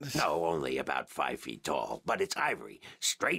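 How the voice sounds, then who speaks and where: At a moderate pace, a man uses a raspy, put-on character voice. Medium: video game. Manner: rambling, self-correcting.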